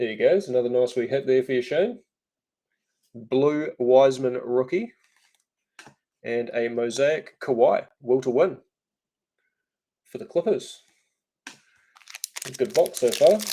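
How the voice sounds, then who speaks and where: Lively intonation and a dark, mellow tone mark this fairly slow delivery, which has long, frequent pauses. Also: man, medium pitch for a man. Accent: New Zealand. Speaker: trading card break host. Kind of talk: live stream card break commentary.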